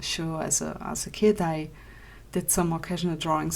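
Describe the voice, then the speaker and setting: A non-native accent comes through. The speed is moderate. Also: woman. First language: not English. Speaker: digital artist. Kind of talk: podcast Q&A answers. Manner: casual, hesitant.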